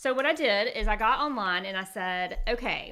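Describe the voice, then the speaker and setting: A woman with a Southern US accent, a bright, sharp tone, a fairly high pitch and a moderate pace. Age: 40s. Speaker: podcast host. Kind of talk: casual chat.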